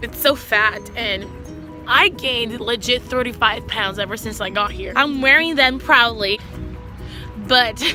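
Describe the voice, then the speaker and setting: Over music in the background, a woman speaks at a fairly slow pace with long, frequent pauses and big swings in loudness. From Brazil. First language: Portuguese. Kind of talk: casual talk to camera. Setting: outdoors.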